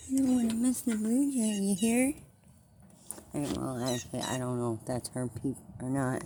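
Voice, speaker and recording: At a moderate pace, a woman with a somewhat breathy, dark, mellow tone speaks at medium pitch, with very wide pitch swings and long, frequent pauses. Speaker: squirrel-feeding vlogger. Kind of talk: casual talk to animals and camera. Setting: at an open door to outdoors. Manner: animated.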